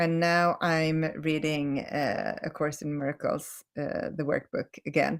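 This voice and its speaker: In a very clean recording with a silent background, a woman with a Swedish accent talks at a very slow pace and fairly low pitch, the sound dry and close with no echo. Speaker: holistic healing coach. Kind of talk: live stream talk. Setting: live video stream. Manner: halting, many self-corrections.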